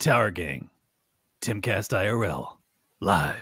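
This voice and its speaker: A man puts on a character voice. It sits at a fairly low pitch and moves at a fairly slow pace. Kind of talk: announcer intro. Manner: booming, theatrical, hyped.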